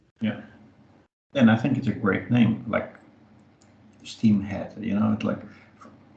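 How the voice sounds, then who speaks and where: The speaker has a non-native accent and a somewhat breathy sound. The pace is fairly slow and the intonation fairly even, with long, frequent pauses. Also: man, medium pitch for a man. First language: not English. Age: 50s. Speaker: podcast co-host, community space co-founder. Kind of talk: casual chat.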